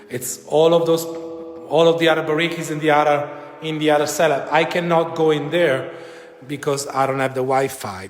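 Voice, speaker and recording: A man with an Italian accent speaks at a moderate pace, his pitch fairly high and his intonation fairly even. Noticeable background noise and audible room echo fill the recording. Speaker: winery guide. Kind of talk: live virtual tour. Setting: winery cellar, live video stream. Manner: casual, hesitant. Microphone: echo in cellar.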